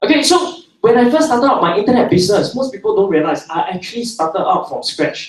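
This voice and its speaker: At a fairly quick pace, a man with a Singaporean accent talks in an animated tone with very wide pitch swings. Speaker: internet entrepreneur, seminar speaker. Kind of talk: seminar talk to live audience.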